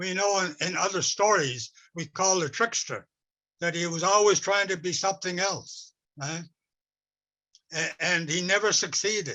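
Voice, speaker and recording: A man with a high pitch and a bright, sharp tone projects a raised voice at a moderate pace, keeping his intonation fairly even and taking long, frequent pauses. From west coast of Vancouver Island, Canada. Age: 80s+. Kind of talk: talk with storytelling. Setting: webinar. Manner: halting, with repetitions.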